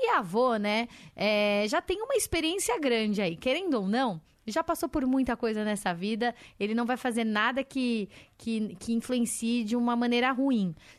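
An ordinary speaking voice, from a woman at a fairly high pitch with lively intonation. Her loudness stays very even against a quiet background. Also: moderate pace. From São Paulo. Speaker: parenting magazine editor. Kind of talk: radio interview.

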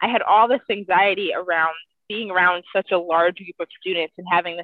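A woman speaks at a fairly quick pace and fairly low pitch with an American accent. It is an ordinary speaking voice. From US Midwest, Cleveland, Ohio. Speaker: mental health advocate. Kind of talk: interview.

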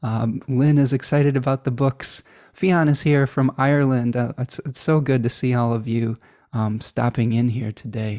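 A man with an American accent speaks in a dark, mellow tone with fairly even intonation. The recording is very clean, with a silent background and a dry, close sound with no echo. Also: medium pitch for a man, moderate pace. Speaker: astrologer hosting a live stream Q&A. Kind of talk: live stream Q&A chat. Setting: live stream with chat. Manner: relaxed, filler-heavy with frequent repetitions.

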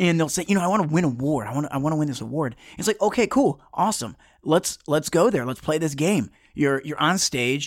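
With an American accent and an unremarkable speaking voice, a man talks at a fairly quick pace and a fairly high pitch with lively intonation, in a very clean recording with a silent background. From Metro Detroit, Michigan. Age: 30s. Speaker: television producer and motivational speaker. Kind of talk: casual interview chat.

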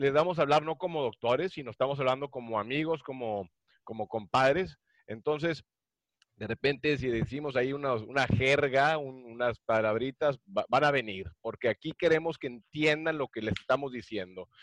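A man with a plain, everyday voice speaks at a medium pitch and moderate pace with ordinary pitch variation, the sound dry and close with no echo against a quiet background. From Mexico, Monterrey. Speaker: podcast co-host and cardiologist. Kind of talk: casual chat.

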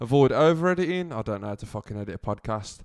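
A man with a British accent talking at a very fast pace against a quiet background. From UK. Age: 20s. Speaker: podcast host. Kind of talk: casual monologue.

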